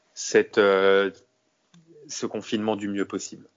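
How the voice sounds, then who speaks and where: This man speaks at a fairly slow pace with a fairly low pitch. His intonation is monotone and flat. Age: 30s. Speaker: sports journalist. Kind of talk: interview. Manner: halting, with many repeated words.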